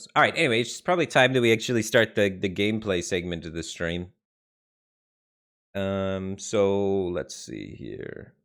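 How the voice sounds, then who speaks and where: A normal speaking voice from a man with an American accent, fairly low in pitch, at a moderate pace with ordinary pitch variation and big swings in loudness, on a very clean recording with a silent background. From Detroit, US Midwest. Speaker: game streamer. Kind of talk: live stream chat. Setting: live stream.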